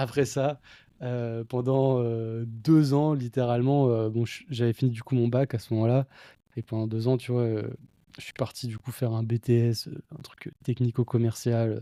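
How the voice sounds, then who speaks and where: At a fairly slow pace and medium pitch, a man with a dark, mellow tone speaks in a monotone, flat intonation, on a very clean recording with a silent background and a dry, close sound with no echo. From central France, near Blois. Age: 20s. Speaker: e-commerce entrepreneur. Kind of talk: podcast interview. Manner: casual, hesitant with many fillers.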